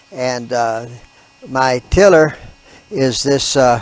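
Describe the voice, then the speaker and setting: Over noticeable background noise, a man speaks very slowly in a medium pitch with ordinary pitch variation. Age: 70s. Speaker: homesteading gardener vlogger. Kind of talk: casual video vlog. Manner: hesitant, many uh fillers.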